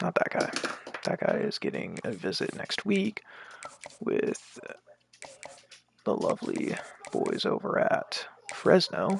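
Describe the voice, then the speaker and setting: A man whispers at a very slow pace. He leaves long, frequent pauses. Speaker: video game streamer. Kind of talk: live gameplay commentary. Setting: live stream.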